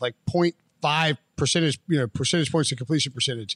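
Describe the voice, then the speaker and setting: Recorded very cleanly against a silent background, with a dry, close sound and no echo, a man talks at a fairly quick pace in a plain, everyday voice, fairly high in pitch with lively intonation. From US South, western North Carolina. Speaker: football analyst. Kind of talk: casual chat.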